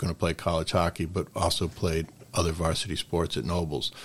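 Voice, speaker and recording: A man with a very deep, low voice talks at a moderate speed. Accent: American. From Connecticut. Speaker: hockey coach. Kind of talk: interview.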